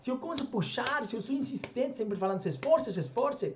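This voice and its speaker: Over noticeable background noise, a man talks at a very fast pace with an extremely high pitch and lively intonation. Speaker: language coach. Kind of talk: motivational talk to camera. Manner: conversational, rhetorical questions.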